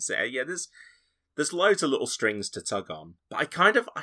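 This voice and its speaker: A man talks at a fairly quick pace in a bright, sharp tone. The recording is very clean and dry, close with no echo and a silent background. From Yorkshire, northern England. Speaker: podcaster. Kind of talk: casual chat.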